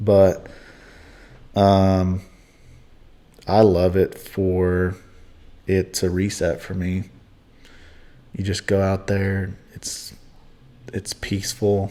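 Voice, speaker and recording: The voice belongs to a man with a very deep, low pitch and a dark, mellow tone. He speaks in an American accent, leaving long, frequent pauses. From US South (West Tennessee, Kentucky). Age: 20s. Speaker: ex-Mennonite business owner. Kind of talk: podcast interview. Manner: casual.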